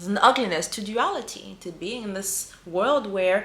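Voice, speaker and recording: With a non-native accent, a woman speaks at a fairly slow pace and medium pitch with lively intonation, and audible room echo surrounds her voice. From small African island country. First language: not English. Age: 40s. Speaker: spiritual healer and coach. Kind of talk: spiritual teaching monologue. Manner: mellow.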